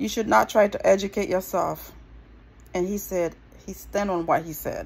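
A woman's medium-pitched voice with vocal fry, ordinary pitch variation and a moderate pace

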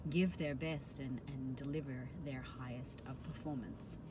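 A somewhat breathy woman's voice amid noticeable background noise. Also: dry sound with no echo. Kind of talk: casual advice talk to camera. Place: car. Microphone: phone near.

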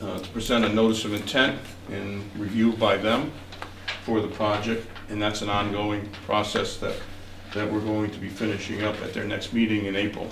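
Noticeable background noise runs behind a man's voice. His pitch is fairly low and his pace moderate. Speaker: land surveyor. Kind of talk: technical presentation. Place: meeting room. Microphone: camera far.

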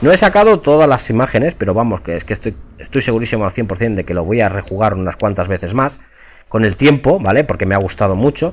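At a very fast pace, a man of medium pitch speaks with lively intonation. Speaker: gaming youtuber. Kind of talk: video game review monologue. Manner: casual, with hesitations.

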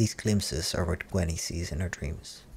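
A soft-spoken whisper with vocal fry at a moderate pace, over light background noise. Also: man. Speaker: movie recap narrator. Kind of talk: movie recap narration. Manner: whispered, soft. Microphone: studio mic.

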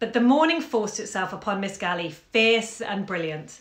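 A woman's voice comes through with audible room echo. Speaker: bookshop owner reading aloud. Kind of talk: literary audiobook reading, calm and intimate, from a 1954 short story. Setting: live video stream from home during lockdown. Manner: chatty and friendly in intro. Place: home room. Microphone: phone near.

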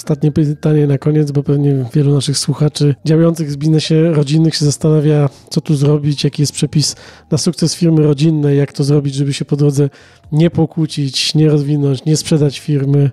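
A man's fairly high-pitched voice, dark and mellow in tone, flat and monotone, in a dry, close sound with no echo. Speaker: business journalist, podcast host. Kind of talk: interview. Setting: outdoor business forum.

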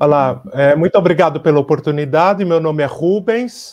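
A man's voice, high-pitched for a man, with ordinary pitch variation against a quiet background. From Brazil. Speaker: artist and teacher. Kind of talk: online conference presentation. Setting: video call. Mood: warm, grateful. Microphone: earbuds.

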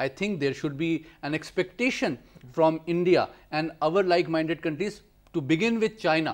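The speaker moves at a fairly quick pace with ordinary pitch variation and big swings in loudness. The background is quiet. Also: man, high pitch for a man. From Pakistan. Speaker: foreign policy analyst. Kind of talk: TV panel discussion. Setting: studio. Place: studio.

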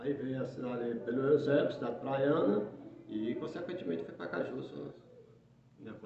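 Noticeable background noise and audible room echo around a male voice of ordinary pitch variation. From Brazil, Ceará. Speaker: sports radio presenter. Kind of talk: interview. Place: studio. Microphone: phone near.

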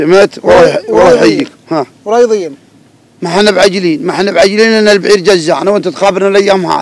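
In a dry sound with no echo, a man talks at a fairly quick pace, high-pitched, with ordinary pitch variation. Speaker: guest. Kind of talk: interview answer. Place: open country. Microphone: handheld.

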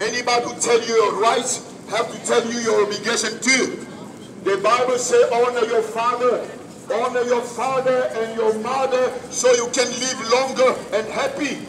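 Over noticeable background noise, a man speaks with monotone, flat intonation. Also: moderate pace. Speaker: street preacher. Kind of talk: street preaching. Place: street. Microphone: camera far.

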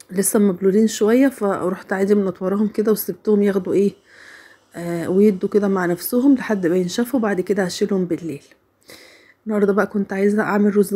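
A quiet woman's voice, dark and mellow in tone, at a moderate pace with fairly even intonation. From Egypt. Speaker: home vlogger. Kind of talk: casual vlog narration. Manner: quiet, unable to raise voice.

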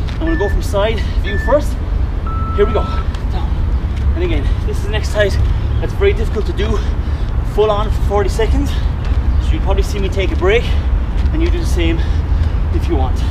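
Loud background noise fills the recording. Through it, a man talks at a very fast pace. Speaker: fitness instructor. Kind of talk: workout tutorial coaching. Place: open country. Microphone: camera far.

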